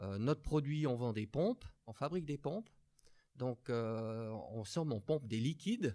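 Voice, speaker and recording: A man with a dark, mellow tone and medium pitch speaks at a fairly slow pace with lively intonation, leaving long, frequent pauses. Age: 50s. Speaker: business executive. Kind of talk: interview.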